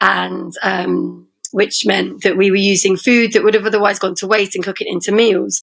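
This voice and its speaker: A woman speaks in an English Midlands accent. Her pace is moderate. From England, Leicester. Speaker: poet and rapper. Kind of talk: casual chat.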